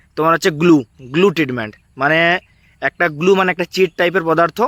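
On a very clean recording with a silent background, the voice sounds dry and close with no echo and shows ordinary pitch variation. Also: man. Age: 20s. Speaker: YouTuber, job exam advice. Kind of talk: informal explainer video.

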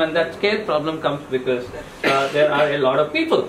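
Light noise in the background and audible echo from the room accompany a man's voice. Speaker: presenter. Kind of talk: lecture. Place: meeting room. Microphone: camera far.

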